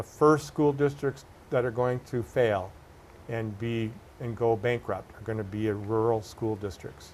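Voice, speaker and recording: An unremarkable speaking voice from a man, medium in pitch, fairly slow, with ordinary pitch variation. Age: 60s. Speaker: political candidate. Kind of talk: interview.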